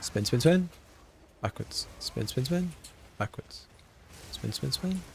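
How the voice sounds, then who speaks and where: Fairly high-pitched man in a British accent, very wide pitch swings, a very slow pace and long, frequent pauses. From Britain. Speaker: video game streamer. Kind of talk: live gameplay stream chat. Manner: animated.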